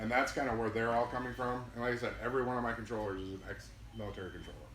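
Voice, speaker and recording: A man with an American accent talks at a very fast pace in a medium pitch and a monotone, flat intonation, with noticeable background noise and audible room echo. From Minnesota. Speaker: air traffic manager. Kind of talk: presentation to pilot club. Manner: loud.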